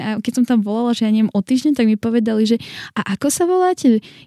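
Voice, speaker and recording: Noticeable background noise behind a fairly high female voice, its pitch variation ordinary. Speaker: church member living abroad. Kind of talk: casual interview.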